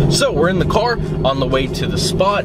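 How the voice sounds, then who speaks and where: Loud background noise sits behind a man speaking at a moderate pace. The sound itself is dry, with no echo. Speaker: car vlogger. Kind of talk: casual vlog chat. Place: car. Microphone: phone near.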